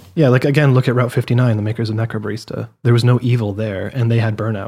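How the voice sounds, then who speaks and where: Somewhat breathy and very fast, a man talks in a dark, mellow tone at medium pitch with monotone, flat intonation. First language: French. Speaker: gaming podcast co-host. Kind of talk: casual chat.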